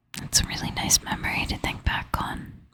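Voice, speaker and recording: Someone is whispering at a moderate pace. Noticeable background noise sits behind the voice. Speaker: ASMR creator. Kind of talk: ASMR personal storytelling. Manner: soft-spoken half whisper. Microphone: crackling from knocking the microphone.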